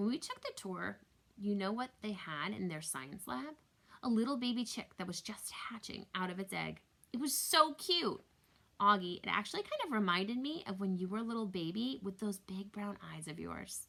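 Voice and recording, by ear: A put-on character voice with a bright, sharp tone and vocal fry moves at a moderate pace. The intonation is lively. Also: woman, medium pitch for a woman.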